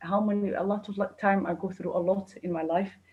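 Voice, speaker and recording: A woman's somewhat breathy voice with a dark, mellow tone, fairly even intonation and a Kurdish accent. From Kurdistan. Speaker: chef. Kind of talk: interview. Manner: halting.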